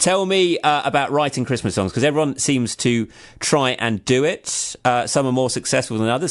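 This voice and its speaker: This man has an English accent. He speaks at a moderate pace with a fairly high pitch. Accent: generic English. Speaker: radio host. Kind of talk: radio interview.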